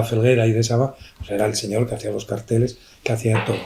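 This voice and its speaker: A man at medium pitch and a fairly quick pace, with noticeable background noise. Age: 70s. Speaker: art professor. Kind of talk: book presentation discussion.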